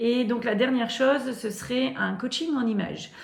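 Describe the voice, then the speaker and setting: There is noticeable background noise and audible room echo as a woman speaks. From northern France. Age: 40s. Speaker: sewing youtuber. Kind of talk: casual vlog talk to camera. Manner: hesitant, many fillers and repetitions.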